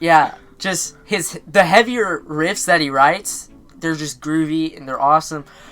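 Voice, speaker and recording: Mumbling at a fairly slow pace, a woman with a very deep, low pitch and ordinary pitch variation shows big swings in loudness over music in the background. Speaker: music reaction video host. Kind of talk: casual reaction chat.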